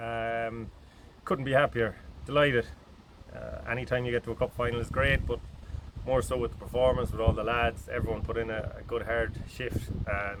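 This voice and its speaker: A man with an Irish accent speaks at a moderate pace with a medium pitch and fairly even intonation, over noticeable background noise. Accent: Irish (Mayo). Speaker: football manager. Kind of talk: post-match interview.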